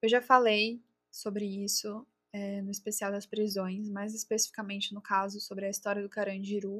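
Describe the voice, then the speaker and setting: A woman speaks at a medium pitch in a monotone, flat delivery, her loudness swinging widely from moment to moment. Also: moderate pace. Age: 20s. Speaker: true crime podcaster. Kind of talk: scripted narration. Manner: casual.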